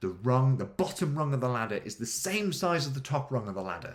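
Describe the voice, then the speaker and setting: Animated and somewhat breathy, a man speaks at medium pitch with lively intonation. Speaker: adventure coach, podcast host. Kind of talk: motivational podcast monologue. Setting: home kitchen. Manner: fast.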